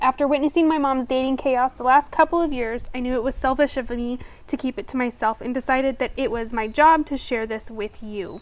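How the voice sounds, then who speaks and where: A woman with a high voice speaks with hardly any pauses and ordinary pitch variation. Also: fairly quick pace. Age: 30s. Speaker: podcast host. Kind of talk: scripted introduction; casual chat.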